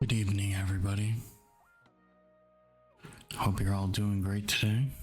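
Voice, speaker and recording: With music in the background, a man speaks in a flat monotone at a fairly low pitch and a moderate pace. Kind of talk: ASMR gaming commentary.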